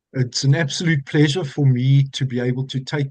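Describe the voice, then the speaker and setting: Somewhat breathy and dark, mellow in tone, a man speaks at a medium pitch with monotone, flat intonation in a dry, close sound with no echo over a quiet background. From South Africa, Johannesburg. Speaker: physician and wellness program expert. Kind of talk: webinar presentation. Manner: formal.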